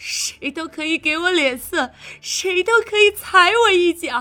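A woman performs a put-on character voice with an extremely high pitch, a bright, sharp tone and lively intonation, talking at a fairly slow pace over faint music in the background.

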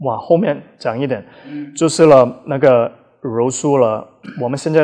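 Speaking at a fairly slow pace, a man holds a medium pitch with ordinary pitch variation. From Australia, emigrated as a child; also trained in Taiwan. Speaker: Brazilian jiu-jitsu coach. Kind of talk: interview conversation.

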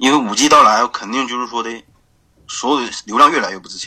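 A man with a northeastern Chinese accent speaks in a bright, sharp tone. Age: 20s. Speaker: e-commerce graphic designer. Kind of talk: interview. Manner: halting, many fillers.

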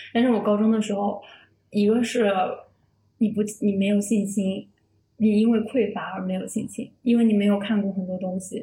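A woman's somewhat breathy, dark, mellow voice at a medium pitch, moderate pace, monotone, flat intonation, and long, frequent pauses. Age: 20s. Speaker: freelance writer. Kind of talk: casual chat.

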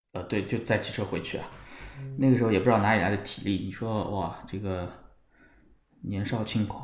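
A somewhat breathy man at a fairly low pitch, fairly even in intonation and fairly quick in pace, with long, frequent pauses and audible room echo. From Shanghai, China. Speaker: football fan. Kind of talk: casual chat. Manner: halting, repeats words.

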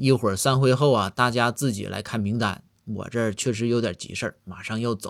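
What you hear is text read aloud in a plain way.

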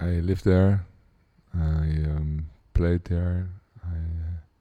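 In a Dutch accent, a man speaks at a very slow pace with a very deep, low pitch. His tone is dark and mellow, his intonation monotone and flat. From Netherlands, Amsterdam. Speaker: pianist and composer. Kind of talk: interview. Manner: hesitant, with many fillers.

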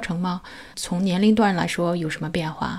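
A woman talks with an ordinary speaking voice. Her pace is moderate, with ordinary pitch variation. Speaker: podcast host. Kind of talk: interview.

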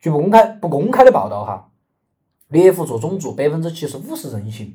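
Speaking at a moderate pace in a Sichuan accent, a man with a high pitch and a dark, mellow tone makes very wide pitch swings and big swings in loudness. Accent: Sichuan (Chengdu) dialect Mandarin. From Chengdu, Sichuan, China. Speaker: podcast co-host. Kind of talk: casual chat with storytelling.

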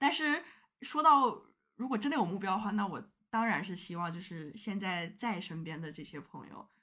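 A woman with a bright, sharp tone and a medium pitch talks at a moderate pace, with very wide pitch swings and big swings in loudness. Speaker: podcast guest. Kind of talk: casual chat.

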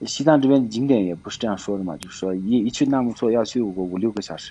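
Here a man speaks with an ordinary speaking voice at medium pitch. His intonation is lively. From Tibet. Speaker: Tibetan local sharing life on the plateau. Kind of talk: casual chat.

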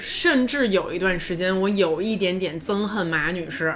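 Medium-pitched female voice amid noticeable background noise and audible room echo. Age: 30s. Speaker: podcast co-host. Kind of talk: casual chat. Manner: loud, with loud laughter.

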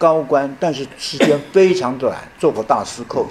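Speech at a fairly slow pace, with noticeable background noise. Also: man. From Taiwan, Yilan. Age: 70s. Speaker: retired professor. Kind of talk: lecture.

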